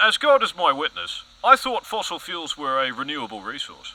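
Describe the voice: Putting on a character voice, a man speaks at a moderate pace and fairly high pitch, with big pitch swings and a bright, sharp tone.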